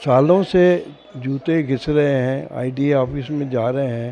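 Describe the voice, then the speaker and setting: A fairly high-pitched man amid noticeable background noise. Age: 80s+. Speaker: aggrieved resident. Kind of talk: press interview statement.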